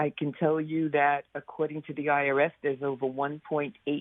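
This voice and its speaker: A woman speaks with a New York accent in a very deep, low pitch. Her intonation is fairly even. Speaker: company founder and CEO. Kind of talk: interview.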